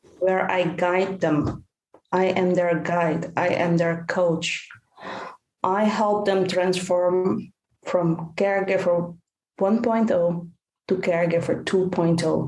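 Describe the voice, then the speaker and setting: A woman speaks at a very slow pace and a fairly low pitch. Her intonation is monotone and flat, and her loudness stays very even. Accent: Dutch. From Netherlands. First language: Dutch. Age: 50s. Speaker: caregiver coach and author. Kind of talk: podcast interview.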